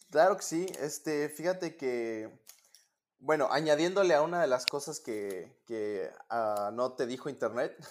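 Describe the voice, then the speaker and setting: A man with a normal speaking voice talks at a fairly high pitch. His intonation is lively. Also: fairly slow pace, very clean recording, silent background. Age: 20s. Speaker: competitive swimmer and university student. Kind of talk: interview.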